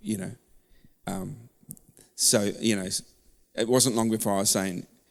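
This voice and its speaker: This man has an Australian accent. His voice sits fairly low. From Melbourne, Australia (born London, Turkish Cypriot parents). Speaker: church member sharing faith story. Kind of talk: testimony interview.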